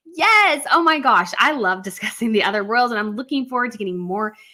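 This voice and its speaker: With an American accent, a woman talks fairly quickly at a high pitch, her tone animated and her intonation lively, against noticeable background noise. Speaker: royal news YouTuber. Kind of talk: livestream commentary with chat reading. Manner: fast.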